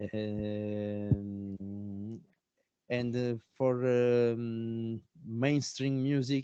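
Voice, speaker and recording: Speaking at a very slow pace with an Italian accent, a man uses medium pitch, fairly even intonation and a dark, mellow tone. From Italy. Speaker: didgeridoo player. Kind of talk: interview. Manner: halting, many fillers.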